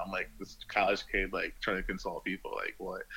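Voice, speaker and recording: With music in the background, a man in an American accent talks at a very fast pace. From New York. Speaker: artist and fashion designer. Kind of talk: interview. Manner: hesitant, many fillers.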